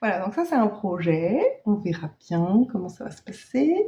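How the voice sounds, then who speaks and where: A woman speaks at a medium pitch in a dark, mellow tone that is somewhat breathy. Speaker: knitting podcaster. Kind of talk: casual vlog chat. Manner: hesitant, many fillers.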